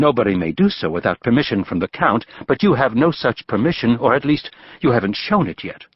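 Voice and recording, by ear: The speaker reads aloud. The voice used is natural.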